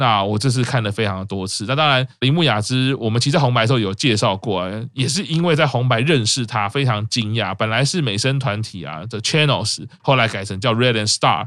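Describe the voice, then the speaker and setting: At a fairly quick pace with hardly any pauses, a man talks in an unremarkable speaking voice at a medium pitch, with ordinary pitch variation. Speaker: podcast host. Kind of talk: casual chat.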